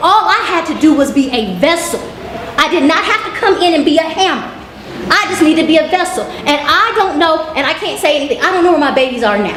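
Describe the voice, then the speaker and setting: A woman with an American accent talks loudly at a very fast pace, her extremely high voice full of lively intonation. Noticeable background noise and audible room echo surround her. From Oklahoma, US. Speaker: teacher, expat panelist. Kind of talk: panel discussion.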